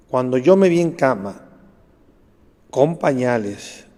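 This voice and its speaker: A man speaks in a dark, mellow tone at a medium pitch. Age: 60s. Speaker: pediatrician and author. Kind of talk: interview. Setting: studio.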